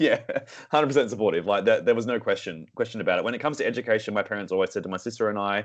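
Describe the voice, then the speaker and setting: Very fast speech comes from a man. He has an Australian accent. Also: quiet background. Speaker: singer and vocal director. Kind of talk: casual interview. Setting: remote call.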